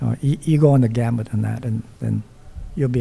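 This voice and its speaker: With a non-native accent, a man speaks at a medium pitch in a dark, mellow tone. His voice is somewhat breathy, and his intonation is fairly even. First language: not English. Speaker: panelist, veteran and local politician. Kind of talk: panel discussion. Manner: halting.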